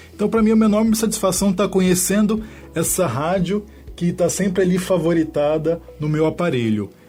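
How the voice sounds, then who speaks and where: Loudness stays very even, with ordinary pitch variation and a moderate pace. Music plays in the background. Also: man, high pitch for a man. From southern Minas Gerais, Brazil. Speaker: lawyer. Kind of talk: radio interview. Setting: radio studio. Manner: hesitant, many fillers.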